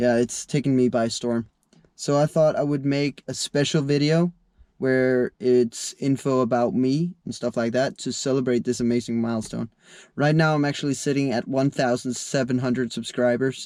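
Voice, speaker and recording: Against a quiet background, a man uses a normal speaking voice at medium pitch and a moderate pace with fairly even intonation, with a dry, close sound and no echo. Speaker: kart racer and sim racer. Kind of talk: casual talk to camera.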